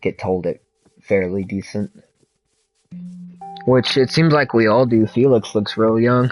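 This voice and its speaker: A man at medium pitch speaks at a fairly slow pace with ordinary pitch variation and long, frequent pauses. Music is in the background. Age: 30s. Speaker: video game streamer. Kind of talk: casual chat.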